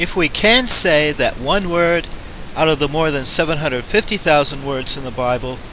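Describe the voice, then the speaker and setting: A fairly slow American accent over noticeable background noise. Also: man. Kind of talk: religious educational narration over slides.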